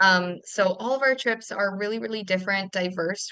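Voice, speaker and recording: A woman with a bright, sharp tone and medium pitch talks at a fairly quick pace with fairly even intonation, over a quiet background. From Canada. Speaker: travel specialist, webinar host. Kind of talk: webinar presentation. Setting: video call webinar.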